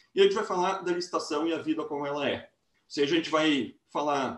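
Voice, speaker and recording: Speaking at a very fast pace, a man uses a high pitch. His intonation is lively. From interior of Rio Grande do Sul, Brazil. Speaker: law professor. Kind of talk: lecture.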